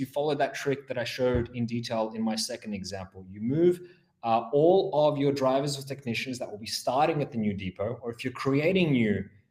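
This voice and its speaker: A man speaks with an Australian accent at a medium pitch. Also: hardly any pauses, big swings in loudness. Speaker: implementation engineer. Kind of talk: software webinar demo. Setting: online webinar.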